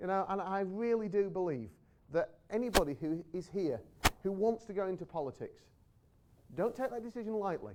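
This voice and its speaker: The speaker talks at a moderate pace with an American accent. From England. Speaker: politician. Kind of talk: speech to an audience. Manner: emphatic.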